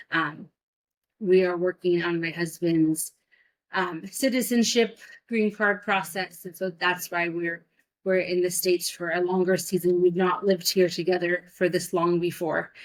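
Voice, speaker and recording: A woman with an American accent speaks in a plain, everyday voice at a fairly low pitch. Her intonation is fairly even and her pace moderate. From US Pacific Northwest, Vancouver Washington. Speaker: missionary. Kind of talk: interview conversation.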